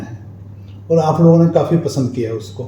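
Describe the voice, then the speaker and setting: The voice has ordinary pitch variation, with audible echo from the room. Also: man. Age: 50s. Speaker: talk show host. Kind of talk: interview. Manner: casual, hesitant.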